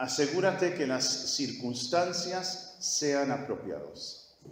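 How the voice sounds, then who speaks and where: A man speaks over noticeable background noise. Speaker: pastor teaching a church course. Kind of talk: sermon-style teaching session. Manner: repetitive, emphatic.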